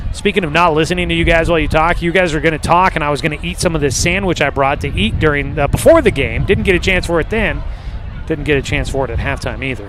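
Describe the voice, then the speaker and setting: A man speaks very fast at a fairly high pitch, his intonation fairly even. Room echo is audible, and background noise is noticeable. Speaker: play-by-play radio announcer. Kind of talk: live sports commentary. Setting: press box at a stadium, outdoors.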